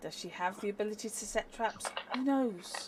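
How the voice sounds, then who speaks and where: Woman's medium-pitched voice at a fairly slow pace, with ordinary pitch variation and noticeable background noise. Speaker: tabletop role-play player. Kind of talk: casual chat.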